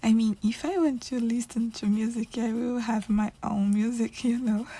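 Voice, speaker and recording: The speaker talks at a moderate pace with a non-native accent. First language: not English. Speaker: coloring video creator. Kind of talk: casual chat while coloring. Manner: halting.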